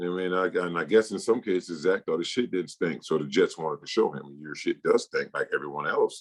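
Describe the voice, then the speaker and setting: A man at a fairly quick pace, hardly any pauses, in a dry, close sound with no echo. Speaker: former NFL running back, podcast co-host. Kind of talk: casual sports podcast banter.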